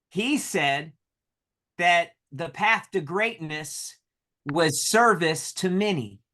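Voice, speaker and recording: Against a quiet background, a man with an American accent speaks at a very slow pace. His pitch is high and his intonation lively. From North Carolina. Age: 30s. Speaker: solar sales leader. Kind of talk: motivational talk with interpreter.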